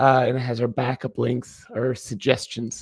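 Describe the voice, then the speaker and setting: A man's somewhat breathy voice comes through in a very clean recording with a silent background. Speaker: online lesson host. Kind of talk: livestream hosting.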